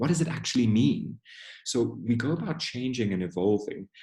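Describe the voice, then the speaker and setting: A man with a dark, mellow tone and a somewhat breathy voice talks at a moderate pace. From South Africa. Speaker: diversity and inclusion trainer. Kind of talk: webinar Q&A. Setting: online webinar. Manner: conversational.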